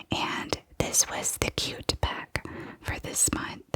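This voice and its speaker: Whispering at a very slow pace, noticeable background noise underneath. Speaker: ASMR creator. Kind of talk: ASMR whispered show-and-tell. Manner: soft-spoken.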